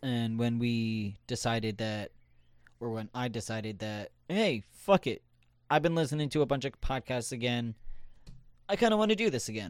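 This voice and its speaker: On a very clean recording with a silent background, a man with an ordinary speaking voice talks at a moderate pace, with a medium pitch and ordinary pitch variation. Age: 20s. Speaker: podcast host. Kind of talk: casual chat.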